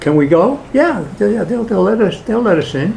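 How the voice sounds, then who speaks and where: A man speaks with a New York accent at a moderate pace. Room echo is audible. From Brooklyn, New York. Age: 80s+. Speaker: political activist speaker. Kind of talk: public talk with Q&A. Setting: hall with live audience.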